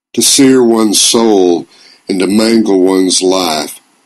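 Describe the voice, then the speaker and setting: A man speaks at a fairly slow pace and a fairly low pitch. He has a plain, everyday voice. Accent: American. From Georgia, US South. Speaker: storyteller, columnist. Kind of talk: personal essay reading.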